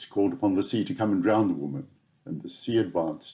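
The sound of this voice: In a put-on character voice, a man booms at a very fast pace with a fairly low pitch.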